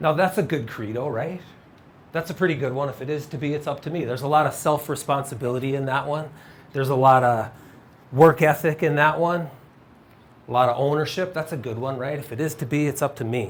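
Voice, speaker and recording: A man with a fairly high pitch and a somewhat breathy voice talks at a very fast pace, his pitch varying in an ordinary way. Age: 50s. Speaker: speaker sharing personal testimony of faith after tragedy. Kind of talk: faith-based talk / testimony to an audience.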